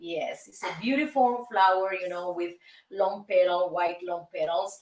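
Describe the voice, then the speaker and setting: The speaker is a woman with a Cuban accent. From Cuba, Havana. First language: Spanish. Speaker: singer and show host. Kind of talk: casual monologue show. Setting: recording studio. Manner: animated.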